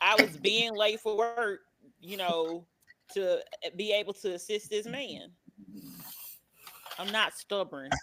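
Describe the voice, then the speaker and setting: The speech is fairly slow, with long, frequent pauses. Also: woman, medium pitch for a woman, ordinary pitch variation, big swings in loudness. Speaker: podcast co-host. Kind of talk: casual chat. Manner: loud.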